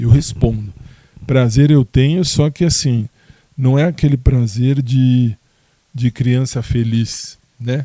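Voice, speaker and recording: Speaking very slowly with long, frequent pauses, a man keeps a medium pitch and fairly even intonation. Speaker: podcaster. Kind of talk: casual monologue answering listener questions. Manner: hesitant, many fillers and restarts.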